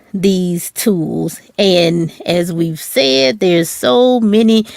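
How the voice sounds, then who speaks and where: This woman talks at a very slow pace. Her pitch sits in the medium range. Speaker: podcast host and author. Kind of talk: solo educational talk. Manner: conversational with many fillers.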